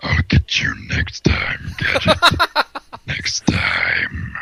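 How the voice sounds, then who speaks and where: A raspy put-on character voice at a very slow pace. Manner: menacing, gravelly villain.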